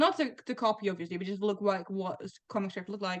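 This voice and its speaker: A woman speaks with a non-native accent and fairly even intonation. The background is quiet. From Netherlands. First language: not English. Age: 20s. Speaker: comic writer. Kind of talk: interview.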